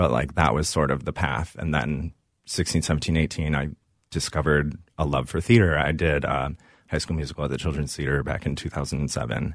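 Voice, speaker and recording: In a very clean recording with a silent background, a man with an American accent talks at a moderate pace in a very deep, low voice with vocal fry and fairly even intonation. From Minnesota, Woodbury. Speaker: musical theatre performer. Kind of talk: casual interview. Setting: studio.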